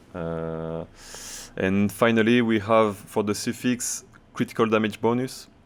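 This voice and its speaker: Here a man talks at a very slow pace. His intonation is fairly even. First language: French. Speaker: video game streamer. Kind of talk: gameplay tutorial. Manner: halting.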